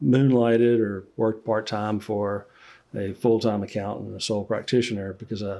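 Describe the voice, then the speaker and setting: With a Louisiana accent, a man speaks at a fairly slow pace and a fairly low pitch, his dark, mellow tone delivered in a monotone, flat way. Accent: Louisiana Southern US. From Central Louisiana. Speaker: accountant and business owner. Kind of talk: podcast interview.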